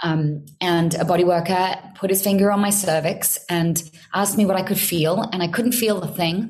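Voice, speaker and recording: A woman speaks at a medium pitch and moderate pace, her voice somewhat breathy with a calm tone. Her loudness stays very even and her intonation fairly even. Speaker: women's body-work teacher. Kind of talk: casual interview. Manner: grounded, calm.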